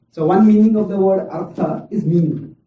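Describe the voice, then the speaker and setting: Fairly even intonation from a man, plus audible echo off the room. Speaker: spiritual teacher. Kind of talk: lecture.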